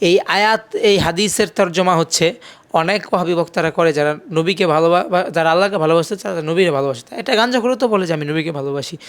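Over noticeable background noise, a man talks in a high-pitched voice with ordinary pitch variation. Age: 20s. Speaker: Islamic preacher. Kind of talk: interview. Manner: halting.

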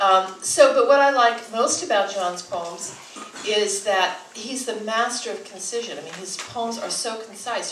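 A woman's voice comes with audible room echo. Light background noise is present. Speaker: event host introducing a poet. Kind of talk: introduction speech to audience. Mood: warm, admiring. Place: shop.

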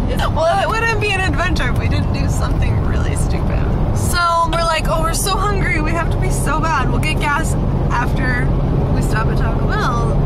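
A woman keeps a moderate pace while loud background noise fills the recording. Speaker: passenger vlogger. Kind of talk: casual vlog chat. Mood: amused, storytelling. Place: car. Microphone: phone near.

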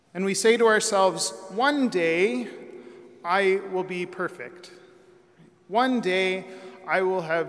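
Pitch moves in an ordinary way. Delivery comes at a very slow pace. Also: man, high pitch for a man. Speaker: priest. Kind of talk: sermon. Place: church. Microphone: podium.

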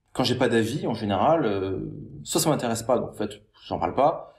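Over a quiet background, a man talks at a fairly quick pace, somewhat breathy, with lively intonation. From France, Paris. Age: 30s. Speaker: online entrepreneur and YouTuber; YouTuber. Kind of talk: monologue responding to a critical comment. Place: home room. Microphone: webcam.

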